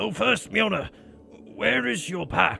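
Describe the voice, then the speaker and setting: A man uses a raspy put-on character voice at a fairly slow pace over clear background noise. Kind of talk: fantasy saga dialogue. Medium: read story. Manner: hearty, loud, laughing.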